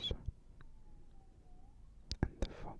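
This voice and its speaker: Amid noticeable background noise, a man whispers in a soothing tone. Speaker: ASMR storyteller. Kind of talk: bedtime fairy tale reading. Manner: whispered; soft, soothing.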